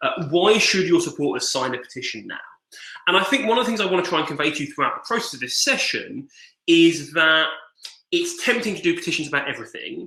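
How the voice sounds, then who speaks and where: Bright and sharp in tone, a man with an English accent talks at a very fast pace in a high voice with very wide pitch swings. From England. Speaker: digital organizing trainer. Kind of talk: online training presentation. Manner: casual, filler-heavy.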